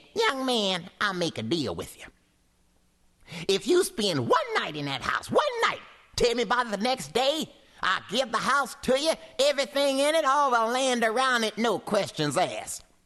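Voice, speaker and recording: Using a put-on character voice, a man projects loudly at an extremely high pitch, swinging very widely up and down. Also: moderate pace. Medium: read story. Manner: slow, folksy.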